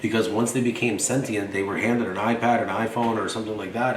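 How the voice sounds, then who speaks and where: Through noticeable background noise and audible room echo, a man talks at a very fast pace with a fairly low pitch and an animated tone. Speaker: vlogger. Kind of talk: monologue.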